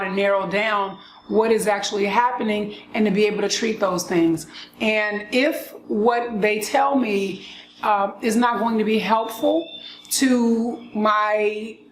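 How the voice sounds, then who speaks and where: A woman's fairly high voice, fairly even in intonation and fairly slow, amid noticeable background noise and audible room echo. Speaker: lupus vlogger. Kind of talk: casual monologue vlog. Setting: outdoors with birds. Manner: frequent coughing.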